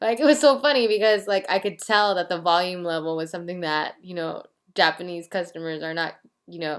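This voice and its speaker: Here is a woman with an ordinary speaking voice, fairly low in pitch, in an American accent. She talks at a fairly quick pace with lively intonation and big swings in loudness. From United States. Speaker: vlogger, language learner. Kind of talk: casual monologue vlog. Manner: casual, filler-heavy.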